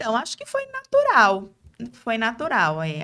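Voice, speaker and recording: A woman with a Bahian accent and a bright, sharp tone, at a moderate pace, in a very clean recording with a silent background. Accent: Bahian (northeastern Brazilian) accent, kept. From Brazil, interior of Bahia. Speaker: lawyer and speaker. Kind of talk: interview.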